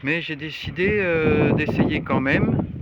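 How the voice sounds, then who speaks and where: Noticeable background noise runs under the clip. A man speaks at a very slow pace in a fairly high pitch. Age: 80s+. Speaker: retired amateur sailor. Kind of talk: casual video diary. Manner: hesitant, halting.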